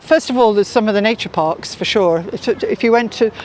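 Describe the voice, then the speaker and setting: Someone with a British accent talks at a very fast pace. Noticeable background noise runs underneath. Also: woman. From Britain. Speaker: tour guide. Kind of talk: interview answer.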